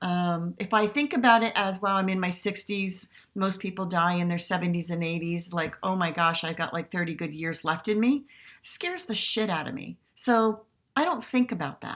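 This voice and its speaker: A woman with an ordinary speaking voice talks at a moderate pace and medium pitch, with ordinary pitch variation, in a very clean recording with a silent background. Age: 60s. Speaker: spiritual podcast host. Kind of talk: casual reflective monologue. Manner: gentle, conversational.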